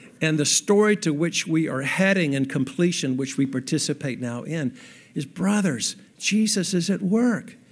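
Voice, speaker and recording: In a plain, everyday voice, a man speaks at a moderate pace with fairly high pitch and lively intonation. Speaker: pastor. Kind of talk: sermon. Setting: stage with audience.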